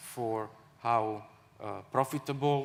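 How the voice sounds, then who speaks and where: The speaker has an Italian accent. Pitch varies in an ordinary way. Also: man. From Italy. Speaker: aircraft manufacturer marketing director. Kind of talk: conference panel discussion. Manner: halting, many fillers and repetitions.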